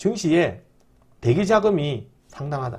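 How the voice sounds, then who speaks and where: The man's voice shows vocal fry at a fairly high pitch. His pitch swings very widely. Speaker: stock market YouTuber. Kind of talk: stock market commentary. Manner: fast.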